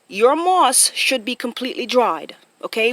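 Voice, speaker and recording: A woman speaks at a high pitch in a bright, sharp tone, with a dry, close sound and no echo. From Jamaica. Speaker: vlogger. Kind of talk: casual vlog explainer. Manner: hesitant with fillers.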